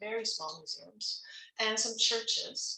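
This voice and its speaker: A woman speaks fairly slowly at a fairly high pitch. Room echo is audible. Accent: Canadian. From Canada, Ontario (Toronto). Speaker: music professor. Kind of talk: faculty talk. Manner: casual, with many fillers.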